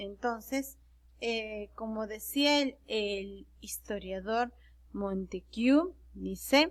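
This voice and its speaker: Her delivery is very slow. This woman's voice sits fairly high, and its pitch moves in a normal way. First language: Quechua (speaking Spanish). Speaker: secondary school teacher. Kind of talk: online class lecture. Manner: halting, with fillers and self-corrections.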